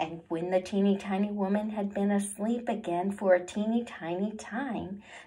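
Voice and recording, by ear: With fairly even intonation, someone reads aloud in a natural voice.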